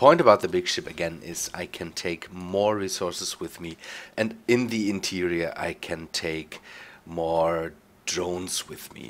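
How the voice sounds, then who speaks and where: A man's very deep, low voice at a fairly slow pace, on a very clean recording with a silent background. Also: ordinary pitch variation. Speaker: gameplay video creator. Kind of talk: let's play commentary.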